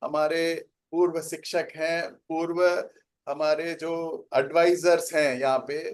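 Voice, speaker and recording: The speaker is a man with a Tamil accent. His voice is high in pitch. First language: Tamil (speaking Hindi). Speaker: organization representative. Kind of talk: inaugural speech. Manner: halting.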